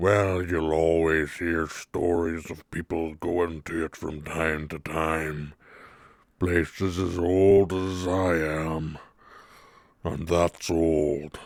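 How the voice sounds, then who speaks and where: A put-on character voice moves at a very slow pace in a monotone, flat intonation. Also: man, very deep, low pitch for a man. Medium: actual play. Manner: slow, relaxed.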